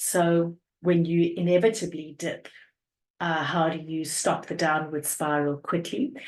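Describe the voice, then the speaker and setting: A woman talks at a fairly slow pace. Her pitch is fairly low, with ordinary pitch variation. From South Africa, Cape Town. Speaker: energy coach. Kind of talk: podcast interview.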